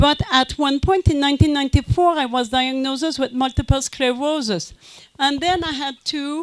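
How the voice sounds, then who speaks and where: In a French Canadian accent, a woman speaks at a high pitch. Her pace is fairly slow. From Quebec. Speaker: conference speaker. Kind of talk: lecture. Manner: halting.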